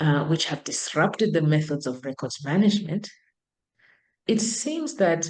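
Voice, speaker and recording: Very deep and low in pitch, a woman speaks with lively intonation and a dark, mellow tone. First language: not English. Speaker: professor. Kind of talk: lecture. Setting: video call.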